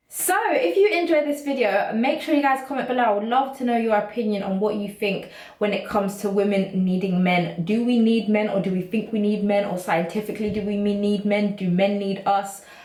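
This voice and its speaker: A woman talks at a fairly quick pace with hardly any pauses, at a medium pitch with ordinary pitch variation. Noticeable background noise and audible room echo fill the recording. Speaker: YouTuber. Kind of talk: casual vlog monologue. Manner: fast; animated.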